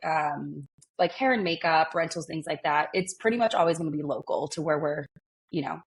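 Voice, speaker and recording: Speech at a moderate pace in a Californian accent. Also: woman. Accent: Californian American. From California, born in Argentina. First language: Spanish. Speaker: wedding planner. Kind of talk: interview. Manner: animated.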